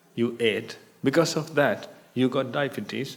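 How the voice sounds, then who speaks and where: Vocal fry marks this man's medium-pitched voice. He speaks with a non-native accent. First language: not English. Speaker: Buddhist monk teacher. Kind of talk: dharma talk. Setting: meditation retreat hall with audience.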